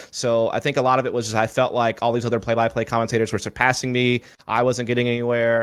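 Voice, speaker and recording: With a slight Southern US accent, a man talks at a very fast pace in a monotone, flat delivery, his medium-pitched voice held at very even loudness. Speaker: esports commentator. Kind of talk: interview.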